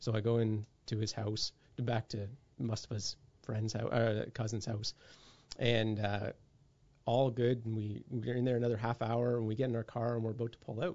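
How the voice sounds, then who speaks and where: Monotone, flat intonation in a Canadian accent, at a moderate pace with long, frequent pauses. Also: man, medium pitch for a man. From Canada, raised across many provinces. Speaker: police officer. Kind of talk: casual interview conversation. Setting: video call.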